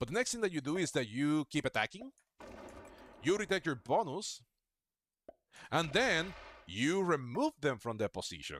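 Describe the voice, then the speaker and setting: On a very clean recording with a silent background and a dry, close sound with no echo, a man with a non-native accent speaks in a fairly high pitch with vocal fry, very wide pitch swings and long, frequent pauses. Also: moderate pace. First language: not English. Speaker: gaming streamer. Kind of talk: live gameplay commentary. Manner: casual, chatty.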